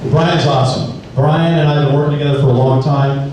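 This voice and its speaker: Over noticeable background noise and audible room echo, a man with an American accent speaks very fast at a fairly high pitch. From Southern California (Temple City area). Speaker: sheriff's deputy. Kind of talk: community presentation. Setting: school meeting room with audience, videotaped. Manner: casual, animated.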